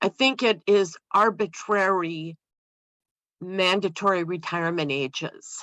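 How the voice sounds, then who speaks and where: Against a quiet background, a woman speaks in a plain, everyday voice at a medium pitch with ordinary pitch variation, the sound dry and close with no echo. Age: 60s. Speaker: aging services professional. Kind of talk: audience comment in discussion.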